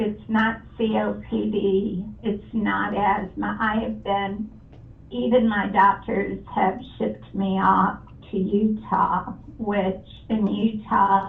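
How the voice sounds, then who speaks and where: Speaking very slowly, a woman is heard over noticeable background noise, with audible echo in the room. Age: 60s. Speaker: home seller. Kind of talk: phone conversation. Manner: halting.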